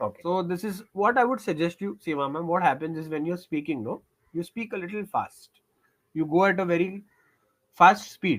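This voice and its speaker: A man speaks at a fairly quick pace with a high pitch and ordinary pitch variation. The recording is very clean, with a silent background. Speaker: English tutor. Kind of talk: one-on-one spoken English practice session. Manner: encouraging, conversational.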